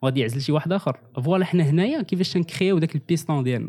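A man races through his words at a very fast pace with ordinary pitch variation on a very clean recording with a silent background. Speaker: communication graduate. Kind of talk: casual chat.

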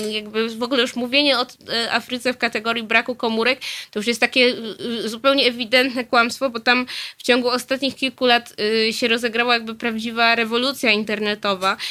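A woman's high, bright, sharp voice at a very fast pace, in monotone with flat intonation. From southern Poland, Nowy Sącz. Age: 20s. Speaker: journalist. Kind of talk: radio interview. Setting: studio. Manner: hesitant, many fillers.

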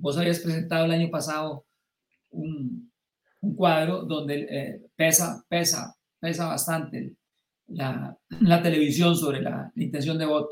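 A man speaks at a fairly high pitch and a fairly slow pace. His intonation stays fairly even. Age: 60s. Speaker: political commentator. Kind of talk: live-streamed political discussion. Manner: halting.

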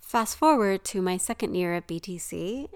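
Woman's plain, everyday voice at medium pitch and a fairly slow pace. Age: 50s. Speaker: podcast host and elementary math teacher. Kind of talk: solo podcast monologue.

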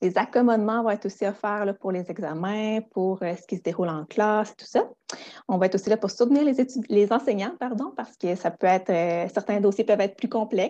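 A woman's dark, mellow, medium-pitched voice with ordinary pitch variation, at a fairly quick pace over a quiet background. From Quebec, Gaspé. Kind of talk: educational interview. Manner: hesitant with fillers.

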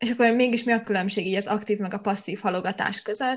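A woman speaks at a fairly quick pace in an ordinary speaking voice, her intonation fairly even, on a very clean recording with a silent background. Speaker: podcast host, student. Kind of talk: casual chat podcast. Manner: chatty, laughs.

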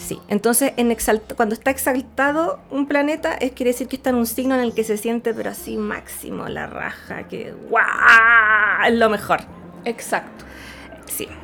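A woman's fairly high voice with a Chilean accent and fairly even intonation, music playing behind her. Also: fairly slow pace. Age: 30s. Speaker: astrology podcast co-host. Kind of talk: casual chat. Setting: live stream.

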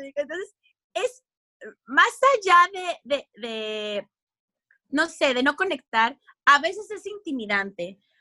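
In a Mexican accent, a woman projects a raised, high-pitched voice with a bright, sharp tone, very wide pitch swings and big swings in loudness. She moves at a very slow pace with long, frequent pauses, and the sound is dry and close with no echo. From Mexico. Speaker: radio and television communicator. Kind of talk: casual interview chat.

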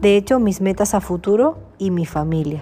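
Music plays in the background as a woman speaks. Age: 20s. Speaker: entrepreneur. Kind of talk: personal introduction monologue.

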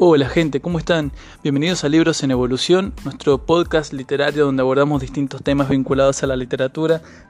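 This man talks at a very fast pace with fairly even intonation. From Argentina, San Juan. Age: 20s. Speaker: podcast host and writer. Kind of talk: podcast monologue introducing a season.

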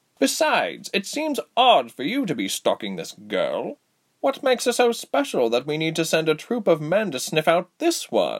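A man does a gruff, put-on character voice, high in pitch, at a moderate pace. The sound is dry and close with no echo. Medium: audio drama. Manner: gruff, sardonic, impatient.

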